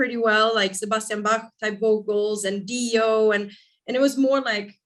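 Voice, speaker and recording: A flat, monotone delivery sits over a quiet background. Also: woman. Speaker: rock band lead singer. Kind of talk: interview.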